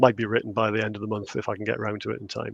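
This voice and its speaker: Very fast speech comes from a man with a fairly low pitch and vocal fry. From northern England, Newcastle area. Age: 50s. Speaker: UFO researcher and author. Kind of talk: podcast interview.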